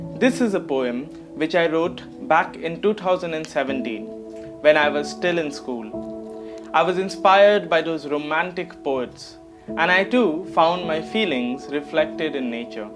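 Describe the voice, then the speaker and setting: With music playing in the background, a man with a fairly high pitch speaks at a fairly slow pace, his pitch swinging very widely. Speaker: poet. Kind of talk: spoken word introduction.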